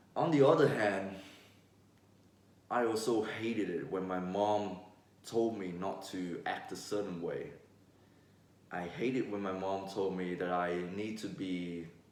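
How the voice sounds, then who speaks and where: A man talks at a fairly slow pace with a fairly low pitch. His intonation stays fairly even, and there is audible room echo. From Vietnam. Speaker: vlogger. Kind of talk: casual vlog monologue.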